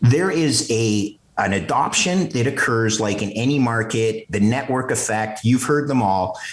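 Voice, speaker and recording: In a Canadian accent, a man with a medium pitch speaks at a fairly slow pace with lively intonation, heard through noticeable background noise and audible room echo. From Canada, Montreal. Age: 50s. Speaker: finance executive and bitcoin strategist. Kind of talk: podcast interview. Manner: animated.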